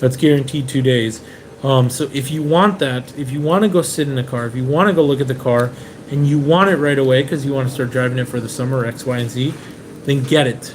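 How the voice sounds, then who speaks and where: A man with an American accent speaks fairly quickly at a fairly high pitch with ordinary pitch variation, and background noise is noticeable. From Venezuela, raised in the US from age seven. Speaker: car importer, live stream host. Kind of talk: live stream Q&A chat. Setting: Airbnb in Japan, live stream. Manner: casual, with frequent fillers.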